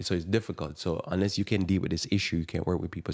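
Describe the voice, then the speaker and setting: A man with a strong Jamaican accent speaks at a very deep, low pitch in a very clean recording with a silent background. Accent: thick Jamaican. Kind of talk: live radio talk monologue.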